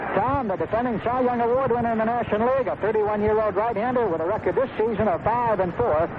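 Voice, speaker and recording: A man's high pitch over noticeable background noise. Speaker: baseball radio play-by-play announcer. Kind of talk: live baseball radio play-by-play commentary.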